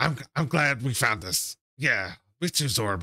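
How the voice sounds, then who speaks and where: A raspy, put-on character voice moves at a fairly slow pace on a very clean recording with a silent background. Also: man, medium pitch for a man. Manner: cheerful, excited about treasure.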